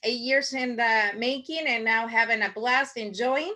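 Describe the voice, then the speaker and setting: Raising and projecting her voice, a woman with a strong Spanish accent speaks at a fairly slow pace and high pitch, her tone bright and sharp, with ordinary pitch variation over a quiet background. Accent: thick Spanish. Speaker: marketing workshop instructor. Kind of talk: online workshop presentation. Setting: video call. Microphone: video call.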